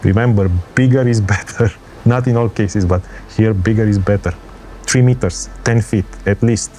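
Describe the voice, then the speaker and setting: With music in the background, a man talks at a moderate pace and fairly low pitch, with very even loudness, fairly even intonation and long, frequent pauses. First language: not English. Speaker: travel vlogger. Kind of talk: tutorial. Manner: halting.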